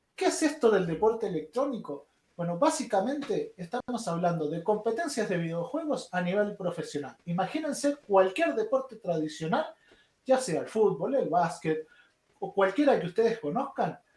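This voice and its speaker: A man with a Chilean accent speaks at a moderate pace. His pitch is high and swings very widely. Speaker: esports instructor. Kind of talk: online lecture. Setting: livestream.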